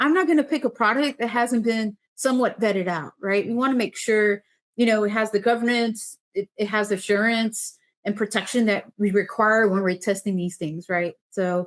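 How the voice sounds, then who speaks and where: This woman's voice sits at a fairly high pitch and has ordinary pitch variation. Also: quiet background. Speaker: city government official. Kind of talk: webinar presentation. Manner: fast.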